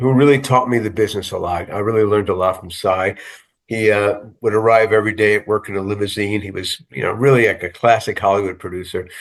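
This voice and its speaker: A man at a fairly low pitch, talking at a very fast pace with fairly even intonation, over a quiet background. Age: 70s. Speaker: TV writer and producer. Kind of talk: interview. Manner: halting, many fillers.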